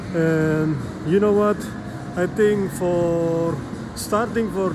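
A man's high voice at a very slow pace with fairly even intonation, music in the background. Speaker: vlogger. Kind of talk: casual vlog chat. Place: hall. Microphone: phone near.

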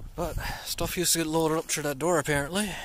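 In a room with audible echo, a man speaks at a moderate pace with a medium pitch.

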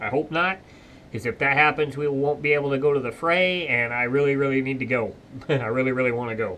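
This man talks at a very fast pace with a bright, sharp tone. His intonation stays fairly even, and there is light background noise. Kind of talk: casual vlog chat. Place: workshop. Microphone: camera far.

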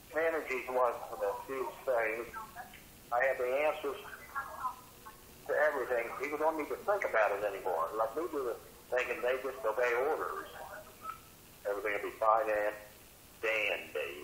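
A man at a medium pitch with a fairly bright tone, ordinary pitch variation, a moderate pace, long, frequent pauses and audible room echo.

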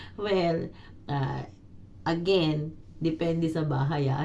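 The voice has a dark, mellow tone, somewhat breathy, with fairly even intonation. Room echo is audible. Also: woman. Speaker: domestic helper and vlogger. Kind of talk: casual vlog monologue.

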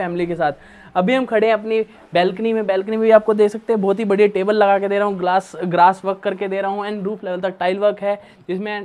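Speaking fairly quickly, a man holds a monotone, flat intonation at a high pitch. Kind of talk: property tour presentation. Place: home room.

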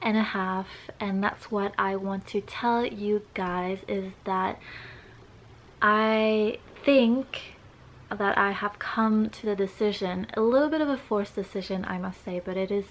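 This woman's pace is fairly slow. Her intonation is fairly even. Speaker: vlogger. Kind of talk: casual vlog chat. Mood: earnest, somewhat serious. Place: home room.

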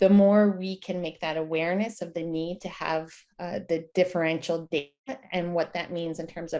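Against a quiet background, a woman speaks at a moderate pace with fairly even intonation and a fairly low pitch. She has a normal speaking voice. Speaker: guest. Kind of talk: interview answer. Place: home room. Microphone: video call.

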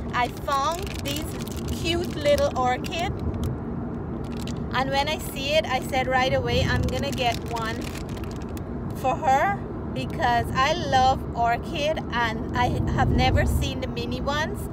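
With loud background noise and a dry sound with no echo, a woman speaks at a fairly slow pace with long, frequent pauses. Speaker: cooking vlogger. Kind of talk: casual vlog chat. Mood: warm, upbeat. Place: car. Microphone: phone near.

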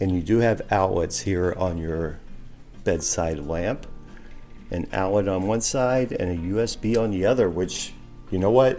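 Over faint background music, a man speaks at a fairly slow pace in a very deep, low voice with ordinary pitch variation. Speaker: travel vlogger. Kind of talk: casual vlog chat. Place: home room. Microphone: phone near.

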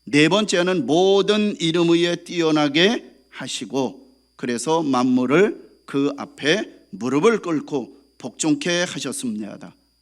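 This man talks at a very slow pace in a fairly high pitch, his intonation lively. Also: very clean recording, silent background. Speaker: pastor. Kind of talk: sermon. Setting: church.

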